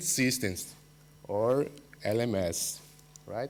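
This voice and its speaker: A man speaks with a Portuguese accent and ordinary pitch variation. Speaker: university researcher. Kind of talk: conference presentation. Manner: halting, many fillers.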